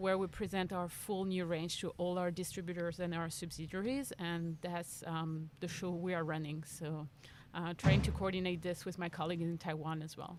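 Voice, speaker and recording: With a French accent, a woman speaks at a moderate pace in a fairly low voice with monotone, flat intonation. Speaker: bike industry marketing manager. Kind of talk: interview. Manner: hesitant, many fillers.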